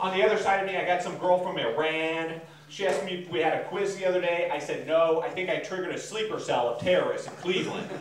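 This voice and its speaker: A man talks at a very fast pace in a high voice, with hardly any pauses and fairly even intonation. Light background noise and audible room echo are present. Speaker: stand-up comedian. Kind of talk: stand-up comedy routine. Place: garage.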